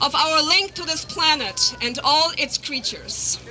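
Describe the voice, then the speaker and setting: A woman with a German accent and an extremely high pitch, at a very slow pace, over noticeable background noise. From Germany. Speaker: biologist and animal rights campaigner. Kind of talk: rally speech. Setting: outdoor rally in a park.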